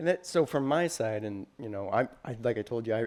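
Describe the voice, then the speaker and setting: A man's normal speaking voice at medium pitch, in a very clean recording with a silent background. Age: 30s. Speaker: interviewer, applications manager. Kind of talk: technical interview.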